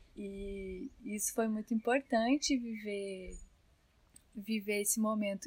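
A woman talks at a very slow pace. Her voice is somewhat breathy and fairly high in pitch. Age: 20s. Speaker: new mother sharing birth story. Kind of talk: casual interview.

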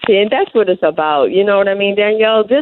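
A woman talks at a fast pace with lively intonation, and the sound is dry and close with no echo. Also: medium pitch for a woman.

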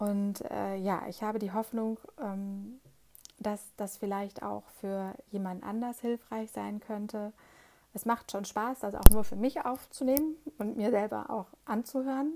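A woman speaks at a fairly slow pace in a fairly high pitch, with ordinary pitch variation and a dark, mellow tone. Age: 40s. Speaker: podcast host. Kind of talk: solo podcast monologue. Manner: hesitant, many filler sounds.

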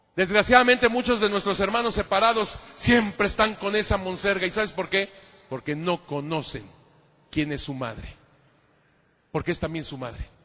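A man's raised, projected voice, high in pitch, bright and sharp in tone, animated, with long, frequent pauses. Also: moderate pace. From Mexico. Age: 50s. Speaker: priest and church historian. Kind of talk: lecture.

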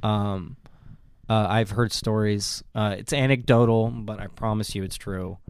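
In a very clean recording with a silent background, a man talks at a fairly slow pace with a fairly low pitch and fairly even intonation. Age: 20s. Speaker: podcast host. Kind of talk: casual chat. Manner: halting.

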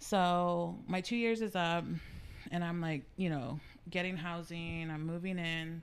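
A woman with an American accent speaks fairly slowly at a fairly low pitch, with audible room echo. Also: fairly even intonation. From San Antonio, Texas. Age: 30s. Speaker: guest sharing life story. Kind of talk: casual interview.

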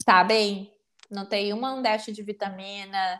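The recording is very clean, with a silent background. A woman speaks very slowly at a medium pitch, her intonation monotone and flat. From southern Brazil, Porto Alegre. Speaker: psychologist. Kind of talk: interview.

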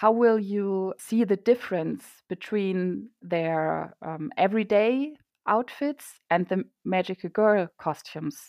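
In a German accent, a woman speaks at a very slow pace with ordinary pitch variation. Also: medium pitch for a woman. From Germany. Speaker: illustrator and comic artist. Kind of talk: interview.

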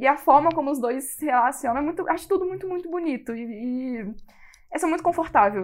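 A woman's high-pitched voice with lively intonation and a fairly quick pace. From Brasília, Brazil. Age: 20s. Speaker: listener caller. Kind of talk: casual chat.

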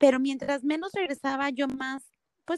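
A woman speaks with a dry, close sound that has no echo. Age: 40s. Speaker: fitness studio founder. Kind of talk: interview. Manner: halting.

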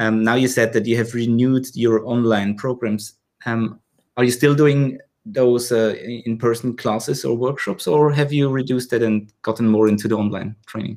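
A man with a German accent, medium pitch, fairly even intonation and moderate pace. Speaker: podcast host. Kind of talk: casual interview chat.

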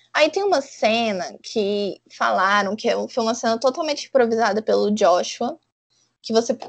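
At a fairly slow pace, a woman talks in a fairly high pitch with an ordinary speaking voice. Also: quiet background. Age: 20s. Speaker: podcast co-host. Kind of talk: casual chat.

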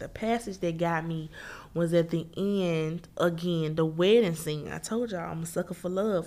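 A woman at a moderate pace in a fairly low pitch, a very clean recording with a silent background. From Memphis, Tennessee. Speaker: podcast host, book reviewer. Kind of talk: book review podcast monologue. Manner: casual, conversational.

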